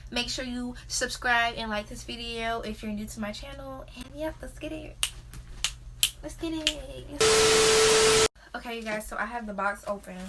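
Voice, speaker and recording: Speaking at a fairly slow pace with long, frequent pauses, a woman with an American accent is heard over noticeable background noise. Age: young. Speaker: beauty vlogger. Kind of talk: product unboxing review. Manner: casual, filler-heavy.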